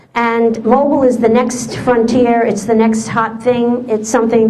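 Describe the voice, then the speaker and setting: A woman speaks at a fairly high pitch. Audible room echo and noticeable background noise fill the recording. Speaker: SEO presenter. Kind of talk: presentation. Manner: fast; halting.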